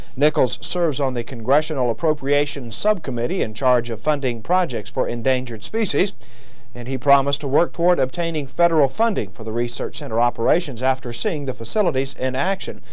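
This man talks at a very fast pace. His intonation is lively. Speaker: news anchor. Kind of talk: news reading. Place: studio.

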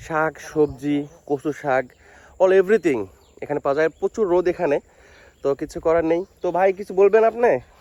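A man's high-pitched voice, dark and mellow in tone, with ordinary pitch variation and a dry, close sound with no echo. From Bangladesh. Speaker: vlogger. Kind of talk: walking vlog narration. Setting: outdoors. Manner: casual.

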